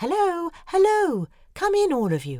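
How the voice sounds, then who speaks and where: A woman uses a put-on character voice that is squeaky and extremely high. She keeps a moderate pace. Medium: audio drama. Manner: friendly, chatty.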